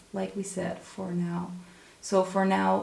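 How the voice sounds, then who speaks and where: A woman with a Dutch accent speaks in a calm tone at a very slow pace, with audible room echo. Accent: non-native English, Dutch. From Netherlands. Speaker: tarot reader. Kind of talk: tarot reading to camera. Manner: calm, unhurried.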